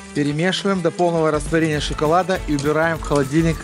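Clear music plays behind a man speaking at a fairly quick pace. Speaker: chef instructor. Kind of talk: cooking tutorial. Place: studio. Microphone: headset.

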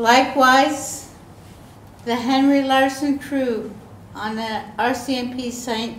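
Light background noise and audible room echo surround a woman speaking at a very slow pace. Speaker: guest lecturer. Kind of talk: lecture. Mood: calm, measured storytelling.

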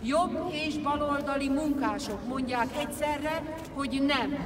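The woman speaks at a very slow pace. Background noise is noticeable. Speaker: speaker. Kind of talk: political rally speech. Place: street.

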